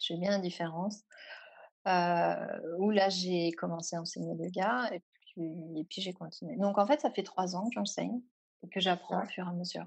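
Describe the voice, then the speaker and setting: A woman speaks in a medium pitch with ordinary pitch variation. She has a plain, everyday voice. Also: moderate pace. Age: 30s. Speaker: yoga teacher. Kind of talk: interview.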